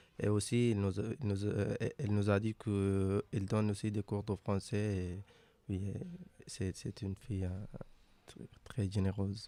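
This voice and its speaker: Pausing long and often, a man with a non-native accent speaks at a very slow pace in a fairly low, dark and mellow voice with monotone, flat intonation. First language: not French (speaking French). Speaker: migrant interviewee. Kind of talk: interview. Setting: radio studio in a hostel. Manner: halting.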